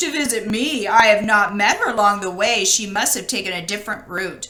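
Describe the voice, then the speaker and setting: Here a woman uses a put-on character voice at medium pitch. She moves along at a fairly quick pace. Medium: read story. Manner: falsely sweet, coaxing.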